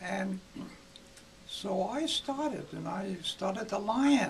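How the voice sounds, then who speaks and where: Over light background noise, a man with a high pitch speaks at a very slow pace, leaving long, frequent pauses. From Iowa. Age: 80s+. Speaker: retired gymnastics coach. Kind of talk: interview answer. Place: home room.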